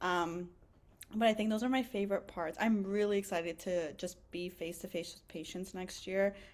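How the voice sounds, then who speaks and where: A woman at a medium pitch speaks with big swings in loudness. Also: moderate pace. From Egypt, then Canada from age seven. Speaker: physician assistant student. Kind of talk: podcast interview. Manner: animated.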